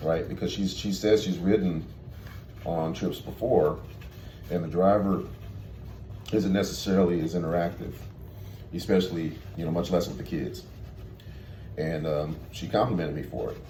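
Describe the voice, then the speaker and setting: A man talks in a very deep, low voice with fairly even intonation. There is audible room echo, and his pauses are long and frequent. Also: moderate pace. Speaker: tour bus driver. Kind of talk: casual vlog monologue. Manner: halting, many fillers.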